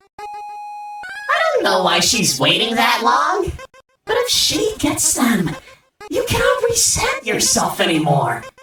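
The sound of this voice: Over faint music and strong room echo, a woman does a put-on character voice with a bright, sharp tone, fairly high pitch and very wide pitch swings, moving at a slow pace with long, frequent pauses.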